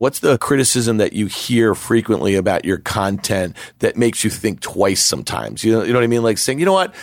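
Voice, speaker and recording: A man with vocal fry and lively intonation talks at a fairly quick pace, keeping a very even loudness. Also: medium pitch for a man, hardly any pauses. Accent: American. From New York. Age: 40s. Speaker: podcast host, market commentator. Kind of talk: casual interview chat.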